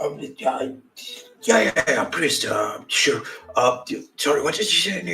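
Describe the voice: Raspy and put-on, a man's character voice moves at a fairly slow pace with long, frequent pauses.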